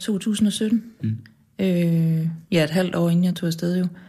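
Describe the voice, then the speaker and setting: Speaking at a very slow pace, a woman with a medium-pitched, somewhat breathy voice and a dark, mellow tone shows ordinary pitch variation. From Jutland, Denmark. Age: 40s. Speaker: journalist and author. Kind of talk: interview conversation. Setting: radio studio.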